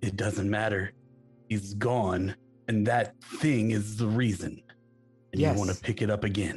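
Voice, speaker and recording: Someone uses a put-on character voice with long, frequent pauses while faint music plays in the background. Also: man, fairly low pitch for a man, moderate pace. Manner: accusing, emotional.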